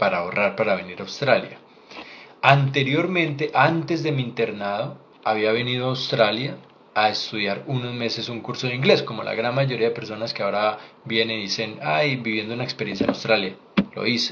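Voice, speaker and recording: A man speaks at a moderate pace in a medium pitch with ordinary pitch variation. Audible room echo and noticeable background noise surround his voice. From Colombia. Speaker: doctor. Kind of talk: live Q&A stream. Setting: livestream.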